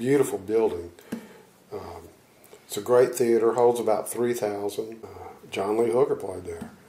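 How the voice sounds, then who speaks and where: A man speaks at a moderate pace with a Louisiana accent. His pitch is medium and his intonation lively. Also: long, frequent pauses, big swings in loudness. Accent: US Southern (Louisiana). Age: 60s. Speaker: blues guitarist. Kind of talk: interview. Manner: halting.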